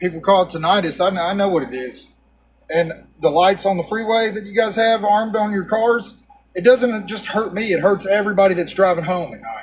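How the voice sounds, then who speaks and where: With a Texan accent, a man talks at a fairly quick pace in a high pitch with ordinary pitch variation. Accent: Texan Southern American. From Texas, USA. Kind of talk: casual talk to camera.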